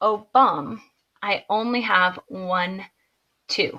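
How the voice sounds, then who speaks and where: A woman speaks at a medium pitch with a bright, sharp tone and ordinary pitch variation. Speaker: high school math teacher. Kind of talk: video lesson tutorial. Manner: brisk, conversational.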